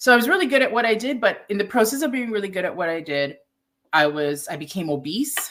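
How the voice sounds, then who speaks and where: A woman talks at a very fast pace with a Toronto accent. Her pitch swings very widely. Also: medium pitch for a woman. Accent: Canadian English, Toronto. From Toronto, Canada. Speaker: ayurvedic nutritionist and chef. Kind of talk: interview. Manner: conversational, many fillers.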